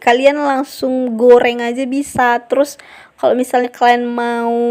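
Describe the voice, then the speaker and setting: A woman's high-pitched voice. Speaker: cooking channel host. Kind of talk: cooking tutorial. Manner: casual, chatty.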